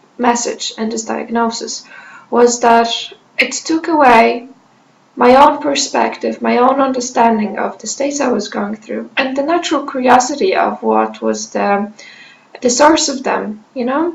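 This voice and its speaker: Speech at a fairly slow pace with ordinary pitch variation, against noticeable background noise. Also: woman. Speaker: mental health vlogger. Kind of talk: personal testimony. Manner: halting with many fillers.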